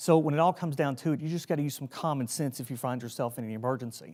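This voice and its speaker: A man with a fairly high voice and a Southern US accent, very fast pace, ordinary pitch variation, very clean recording over a silent background. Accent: Southern US, noticeable. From Tennessee. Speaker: emergency preparedness trainer, army veteran. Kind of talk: training lecture. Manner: casual, conversational.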